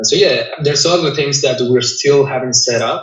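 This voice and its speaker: A somewhat breathy man with a non-native accent, plus audible room echo. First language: not English. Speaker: cleaning business owner. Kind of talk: interview. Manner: halting, frequent repetitions.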